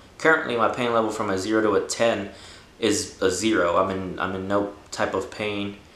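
Audible room echo surrounds a man with a fairly low pitch. He speaks at a moderate pace with fairly even intonation. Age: 20s. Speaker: cancer patient. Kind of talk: casual talk to camera. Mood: earnest, calm, hopeful. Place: home room.

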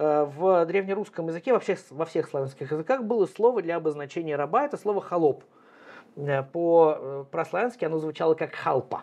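Here a man talks with a high pitch. His pace is moderate and his pitch variation ordinary. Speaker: historian; guest. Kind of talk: interview. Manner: frequent filler hesitations. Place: workshop.

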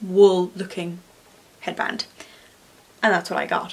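A woman with an Irish accent. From Ireland. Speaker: craft YouTuber. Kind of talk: tutorial. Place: home room.

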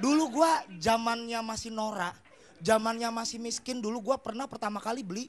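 The speaker's tone is animated. The pace is fairly quick. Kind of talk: stand-up comedy. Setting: stage with audience. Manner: animated, fast-paced, punchline-driven; acts out dialogues and plays characters.

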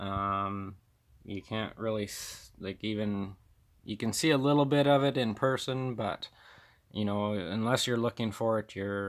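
In a normal speaking voice, a man talks at a fairly low pitch with ordinary pitch variation against a quiet background. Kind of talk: show-and-tell walkthrough. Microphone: phone near.

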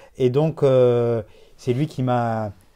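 Against a quiet background, a man speaks fairly slowly in a dark, mellow tone with ordinary pitch variation. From France, Bordeaux; France. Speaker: watch collector; guest. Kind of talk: casual interview. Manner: halting, many repetitions and hesitations. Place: home room.

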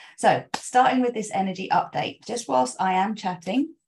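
A woman with a somewhat breathy voice speaks at a moderate pace, with ordinary pitch variation. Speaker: spiritual coach. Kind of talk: spiritual talk to followers. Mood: warm, gentle, enthusiastic. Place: home room. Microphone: webcam.

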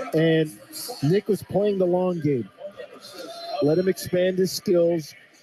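The speech moves at a fairly slow pace with ordinary pitch variation, and there is noticeable background noise. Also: man. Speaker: radio color commentator. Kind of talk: live commentary. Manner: conversational analyst, relaxed.

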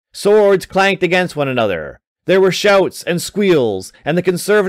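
Quiet surroundings sit behind an unforced reading voice.

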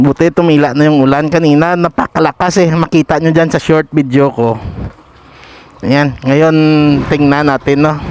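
Over noticeable background noise, a man talks at a moderate pace with fairly high pitch and fairly even intonation. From Pototan, Iloilo, Philippines. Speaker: local motovlogger. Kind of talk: vlog narration while riding. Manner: frequent laughing, casual.

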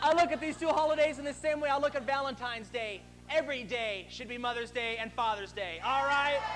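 Loud and fairly quick, a man speaks at an extremely high pitch over light background noise. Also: ordinary pitch variation. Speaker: stand-up comedian. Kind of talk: profane stand-up rant in front of a live crowd. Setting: stage with audience. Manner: aggressive, crude ranting with mock-indignant scolding; loud crowd-pumping bravado. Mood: sarcastic, ranting. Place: stage. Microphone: lapel.

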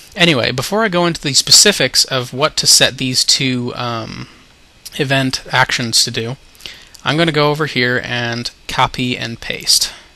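Noticeable background noise sits behind a man speaking at a medium pitch. His pace is moderate and his pitch variation ordinary. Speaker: game modder. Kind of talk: software tutorial narration.

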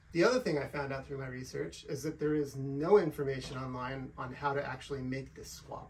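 Loud background noise surrounds a man who speaks at a moderate pace. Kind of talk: tutorial. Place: garage. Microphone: camera far.

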